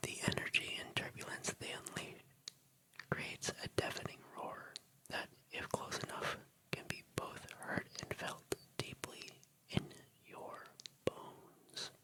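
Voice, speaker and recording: Whispering at a fairly slow pace with long, frequent pauses, over noticeable background noise. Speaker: music producer. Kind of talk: ASMR whispered reading of facts. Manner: whispered, soft-spoken.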